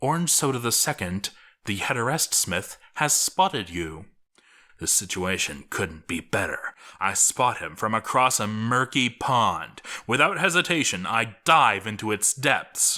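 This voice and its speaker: A man's bright, sharp tone at medium pitch with very wide pitch swings, on a very clean recording with a silent background. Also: fairly slow pace. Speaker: dramatic reader. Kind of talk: dramatic audiobook reading.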